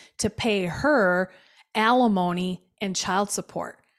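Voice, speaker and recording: A woman with an American accent speaks in a plain, everyday voice at medium pitch with ordinary pitch variation. The recording is very clean, with a silent background. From Milwaukee, Wisconsin (South Side). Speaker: business owner. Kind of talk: interview testimony.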